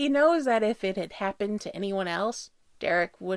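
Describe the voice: The speaker reads aloud plainly, with lively intonation.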